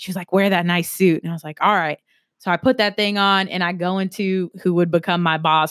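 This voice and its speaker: A woman's fairly low, ordinary speaking voice with an American accent, fairly quick and fairly even in intonation, on a very clean recording with a silent background. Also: dry, close sound with no echo. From South Carolina. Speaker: university recreation administrator. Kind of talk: casual chat.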